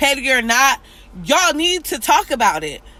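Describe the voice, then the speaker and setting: With a raised, projected voice and a passionate tone, a woman speaks at a moderate pace in a high pitch. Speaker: vlogger, commentary show host. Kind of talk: video monologue on social issues. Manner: loud; passionate, emotional.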